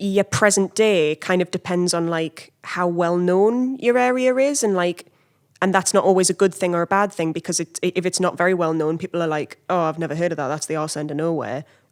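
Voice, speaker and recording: With a Geordie accent, the speaker moves at a fairly quick pace and ordinary pitch variation. The sound is dry and close with no echo, very clean, against a silent background. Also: woman, fairly low pitch for a woman. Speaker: comedian. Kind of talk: casual chat.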